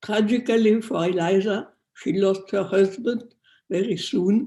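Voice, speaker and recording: Someone speaks at a fairly slow pace with a non-native accent. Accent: foreign. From France. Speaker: descendant of a persecuted family, eyewitness-era speaker. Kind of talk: prepared family history talk. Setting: video call.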